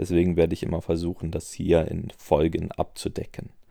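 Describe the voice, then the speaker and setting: Very deep and low in pitch, a man speaks in a dark, mellow tone. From Germany, Aachen. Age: 20s. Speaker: podcast host, tabletop gamer. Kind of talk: solo podcast monologue. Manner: filler-heavy (äh, ähm).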